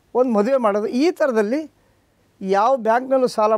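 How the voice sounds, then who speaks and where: An extremely high man's voice with ordinary pitch variation, dry with no echo, against a quiet background. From Mysuru district, Karnataka (rural); Karnataka, India. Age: 70s. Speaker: farmer; guest. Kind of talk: interview. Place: studio. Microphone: lapel.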